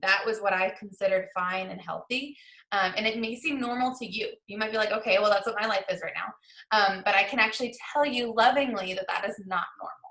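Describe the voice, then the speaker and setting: Bright and sharp in tone, the voice moves at a fairly quick pace with ordinary pitch variation. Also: woman, fairly high pitch for a woman. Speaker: essential oils educator. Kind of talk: online presentation. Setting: video call. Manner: fast; animated.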